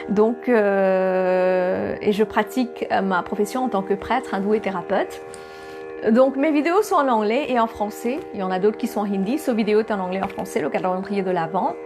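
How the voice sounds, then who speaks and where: A woman with a non-native accent at a moderate pace, music in the background. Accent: non-native accent in French and English. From Mauritius. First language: Bhojpuri (speaking French). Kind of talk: spiritual talk to camera. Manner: hesitant, many fillers.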